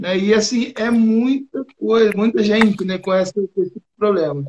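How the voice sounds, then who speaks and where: The man's high voice keeps a moderate pace, and its pitch varies in an ordinary way. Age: 30s. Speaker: business live-stream host. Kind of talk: live-stream interview. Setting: online live stream.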